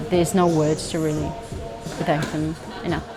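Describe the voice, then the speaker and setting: A woman speaks with a Finnish accent, with music in the background. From Finland. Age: 30s. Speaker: Muay Thai fighter. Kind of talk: interview answer.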